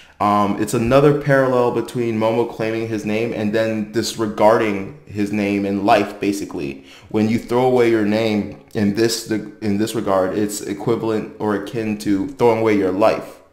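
Against a quiet background with audible room echo, a man with a fairly low voice speaks at a moderate pace with hardly any pauses. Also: fairly even intonation. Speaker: anime commentator. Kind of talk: commentary. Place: home room.

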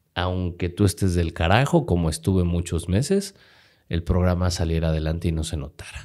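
Against a quiet background, a man speaks with a very deep, low pitch at a moderate pace. His tone is dark and mellow, and his intonation fairly even. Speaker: radio host and speaker, podcast guest; radio host, speaker, podcast guest. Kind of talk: interview answer. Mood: earnest, reflective about hard times. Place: studio. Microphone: studio mic.

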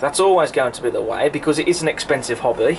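Light noise sits in the background. Over it, a man talks. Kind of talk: casual review commentary. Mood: relaxed, explanatory. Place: home room.

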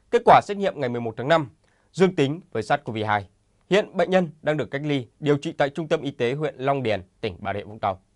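Against a quiet background with a dry, close sound and no echo, a man with a fairly high pitch talks at a fairly quick pace with very wide pitch swings. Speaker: news anchor. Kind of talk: news reading. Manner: formal.

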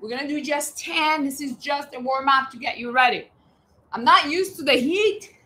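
At a moderate pace, a woman projects a raised, high-pitched voice with an energetic, bright, sharp tone, lively intonation and big swings in loudness. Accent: American. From US Northeast (Boston). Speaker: fitness instructor. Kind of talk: live workout class. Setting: livestream with chat. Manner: energetic, coaching. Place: garden. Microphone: camera far.

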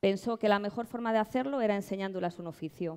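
With a Madrid accent, the speaker's dark, mellow tone moves at a fairly quick pace with ordinary pitch variation against a quiet background. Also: woman. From Madrid, Spain; Spain. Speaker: social entrepreneur. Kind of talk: award presentation speech. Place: stage. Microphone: headset.

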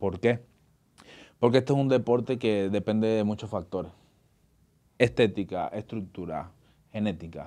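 Against a quiet background, a man with a fairly low, dark, mellow voice speaks at a moderate pace, leaving long, frequent pauses. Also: ordinary pitch variation. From Venezuela (Caracas). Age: 30s. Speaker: actor and bodybuilder; actor. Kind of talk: casual interview. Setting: studio. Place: studio. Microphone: studio mic.

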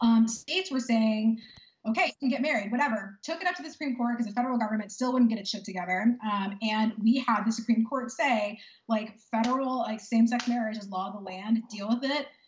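The speech moves at a fairly quick pace with ordinary pitch variation, and audible room echo is present. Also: woman. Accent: American. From Texas. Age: 30s. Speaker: powerlifter and lawyer; lawyer. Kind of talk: interview; interview answer. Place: home room. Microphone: video call.

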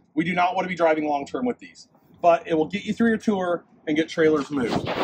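A man's voice amid noticeable background noise. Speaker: fleet trainer. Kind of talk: tutorial. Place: street. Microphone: camera far.

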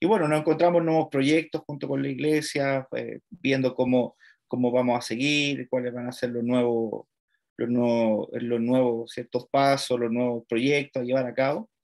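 Against a quiet background, a man with a Chilean accent speaks at a fairly slow pace and with fairly even intonation. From Chile, Santiago. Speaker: seminary lecturer. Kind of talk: lecture. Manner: halting, repeats words. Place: home room. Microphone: webcam.

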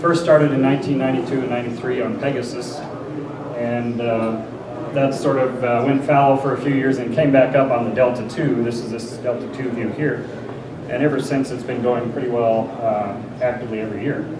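Noticeable background noise sits behind a man. He talks at a moderate pace. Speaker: conference presenter. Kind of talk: lecture. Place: hall.

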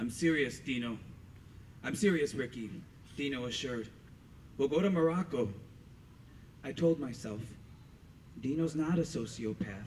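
Light background noise runs under a man's fairly high voice. He leaves long, frequent pauses. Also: moderate pace. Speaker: storyteller. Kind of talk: storytelling performance. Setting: stage with audience. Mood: intimate, reflective, candid. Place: street.

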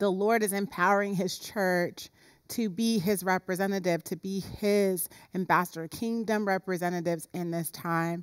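A woman speaks at a moderate pace with fairly even intonation. The background is quiet. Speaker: pastor. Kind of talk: sermon. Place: church.

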